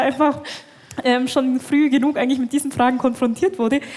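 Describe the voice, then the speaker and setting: A woman's high-pitched voice with fairly even intonation over noticeable background noise. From Bavarian Swabia, Germany. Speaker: Islamic theologian. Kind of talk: live podcast panel discussion. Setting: stage with live audience. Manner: halting, many fillers.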